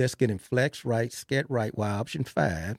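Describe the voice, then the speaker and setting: Speaking at a moderate pace in a Texan accent, a man has a dark, mellow tone, recorded with a dry, close sound and no echo. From Texas (Belton). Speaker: football coach. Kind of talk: interview. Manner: halting, repeats words; quiet, unassuming.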